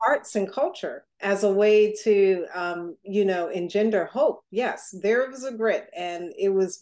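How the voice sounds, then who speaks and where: In an American accent, a woman speaks at a medium pitch in a plain, everyday voice with ordinary pitch variation. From Newark, New Jersey. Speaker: foundation executive. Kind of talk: interview.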